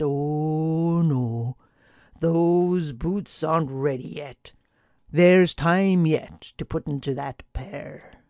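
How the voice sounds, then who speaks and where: A woman puts on a character voice with a very deep, low pitch. She speaks at a very slow pace. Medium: read story. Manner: calm, few words.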